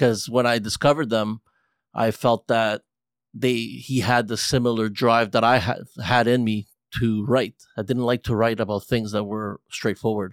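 With an American accent, a man talks at a moderate pace in an unremarkable speaking voice, medium in pitch with fairly even intonation, on a very clean recording with a silent background. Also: dry, close sound with no echo. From grew up locally to 14, then US West Coast. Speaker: musician. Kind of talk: casual chat.

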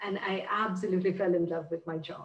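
A woman speaks at a moderate pace in a medium-pitched, somewhat breathy voice. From India. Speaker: nonprofit education executive. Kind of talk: interview.

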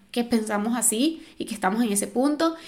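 A woman speaks in a high pitch at a moderate pace. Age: 30s. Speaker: podcast host. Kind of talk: casual monologue. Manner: animated.

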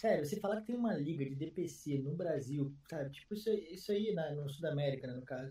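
A man's fairly high, somewhat breathy voice with a dark, mellow tone, lively intonation and a fairly quick pace. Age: 30s. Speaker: esports commentator and streamer. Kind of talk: casual chat.

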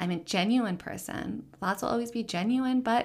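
A woman with an American accent speaks at a moderate pace and a fairly high pitch, her intonation lively. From US South, Richmond, Virginia. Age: 30s. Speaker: social impact coach. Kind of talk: personal storytelling monologue.

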